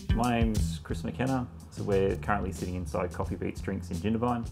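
Clear music plays in the background as a man talks. His pace is fairly quick, and his pitch varies in an ordinary way. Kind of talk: interview answer. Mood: calm, reflective. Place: cafe. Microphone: lapel.

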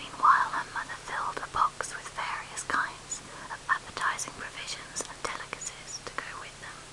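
A woman whispers as noticeable noise carries on in the background. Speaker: ASMR whisper reader. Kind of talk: whispered audiobook reading of classic literature. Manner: whispered, soft-spoken, slow.

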